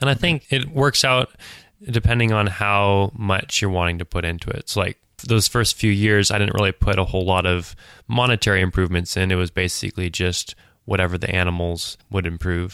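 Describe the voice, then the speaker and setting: Recorded very cleanly against a silent background, a man talks at a fairly quick pace in an ordinary speaking voice, his fairly low pitch showing ordinary variation. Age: young. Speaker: sheep farmer. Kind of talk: interview.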